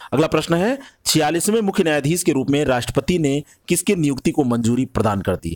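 The man's pitch moves in very wide swings as he speaks. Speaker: exam prep teacher. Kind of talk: lecture.

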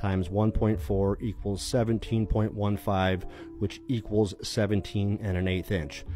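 A man with a fairly low voice is heard in a dry recording with no echo while music plays clearly behind him. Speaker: electrician instructor. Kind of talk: tutorial. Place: street. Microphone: phone near.

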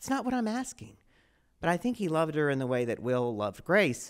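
A man with an American accent talks at a fairly quick pace. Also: quiet background. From Texas. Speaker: storyteller. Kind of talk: live storytelling performance. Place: stage. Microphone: handheld.

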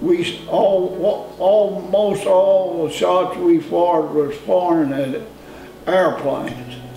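A man talks at a very slow pace in a high voice. Audible room echo and light background noise surround him. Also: ordinary pitch variation, very even loudness. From Kentucky. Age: 80s+. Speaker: farmer; war veteran. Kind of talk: interview answer. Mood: calm reminiscing. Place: home room.

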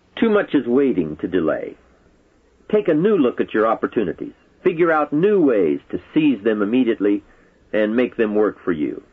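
A man speaks at a moderate pace with a medium pitch. His pitch swings very widely, and he leaves long, frequent pauses. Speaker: motivational speaker. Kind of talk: motivational speech.

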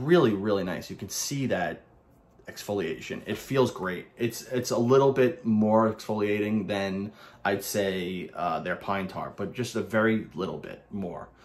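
Using a Brooklyn accent, a man speaks at a fairly slow pace with a fairly low pitch and ordinary pitch variation. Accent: New York (Brooklyn). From Brooklyn, New York. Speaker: soap reviewer / YouTuber. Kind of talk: casual product review monologue. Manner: casual, rambling, halting with filler words. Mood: relaxed, enthusiastic. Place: home room. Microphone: phone near.

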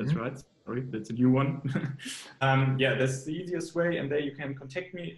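Against a quiet background with audible room echo, a man talks with ordinary pitch variation. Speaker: fitness coach. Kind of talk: interview answer. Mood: relaxed, friendly. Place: kitchen. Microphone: earbuds.

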